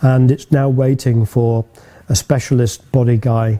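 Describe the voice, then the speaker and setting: Here a man speaks in a medium pitch at a moderate pace. His voice is somewhat breathy, with a dark, mellow tone. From northern England, Manchester. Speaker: classic car restorer and business owner. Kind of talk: interview monologue. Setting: workshop.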